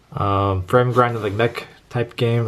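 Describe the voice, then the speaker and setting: Over noticeable background noise, a man with an American accent talks at medium pitch with fairly even intonation. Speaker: collector vlogger. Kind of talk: casual vlog walkthrough. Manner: fast.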